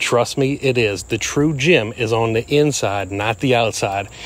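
A man's voice with ordinary pitch variation and a dry sound with no echo. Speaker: explorer vlogger. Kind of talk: casual vlog intro. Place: forest.

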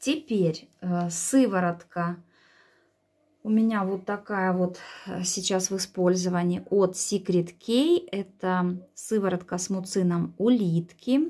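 Over a quiet background, a woman with a dark, mellow tone speaks very slowly with long, frequent pauses and ordinary pitch variation. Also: medium pitch for a woman. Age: 40s. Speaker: beauty vlogger. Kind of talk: product review vlog.

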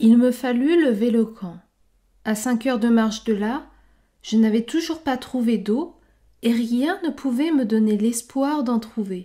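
Over a silent background in a very clean recording, a woman speaks at a very slow pace with a dark, mellow tone, a fairly high pitch and ordinary pitch variation. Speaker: book club host for French learners. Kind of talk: literary audiobook reading. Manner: slow, measured, clear and steady, formal, evenly paced for learners.

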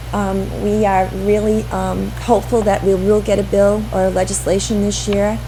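Music plays in the background as a woman talks with audible room echo. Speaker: state education official presenting funding formula. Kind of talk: presentation at school committee meeting. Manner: fast; halting, many fillers.

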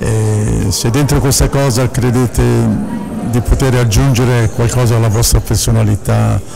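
The speech runs at a fairly slow pace with music in the background. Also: man. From Milan. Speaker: actor. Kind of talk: interview answer. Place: hall. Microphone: handheld.

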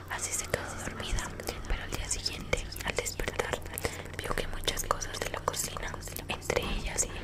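A woman is whispering at a moderate pace. She leaves long, frequent pauses. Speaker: ASMR storyteller. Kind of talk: horror story narration for an ASMR collaboration. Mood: eerie, suspenseful. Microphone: earbuds.

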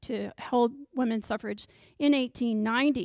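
A woman with an American accent speaks at a high pitch with ordinary pitch variation, in a dry sound with no echo and a quiet background. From Texas. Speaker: history professor. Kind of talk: lecture. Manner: frequent ums. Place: classroom. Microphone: handheld.

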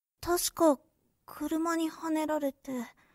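A put-on character voice speaks at a high pitch and a fairly slow pace, its intonation monotone and flat. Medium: audio drama. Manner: rough, blunt street speech.

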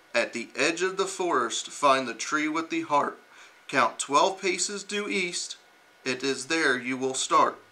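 A man speaks with lively intonation. His pace is fairly slow. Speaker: uniformed reader. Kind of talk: storybook reading aloud. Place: classroom.

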